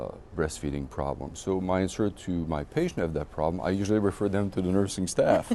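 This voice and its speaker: A man with a French accent talks at a fairly quick pace, his pitch very deep and low. His tone is dark and mellow, with ordinary pitch variation. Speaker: obstetrician. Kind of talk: interview. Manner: animated.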